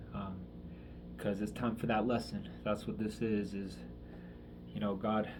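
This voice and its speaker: Ordinary pitch variation amid audible room echo. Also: man. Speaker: vlogger. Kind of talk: personal video diary. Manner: halting, many fillers.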